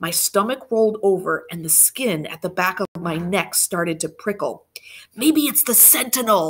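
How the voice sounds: This is a natural reading voice. It is delivered as a natural reading voice.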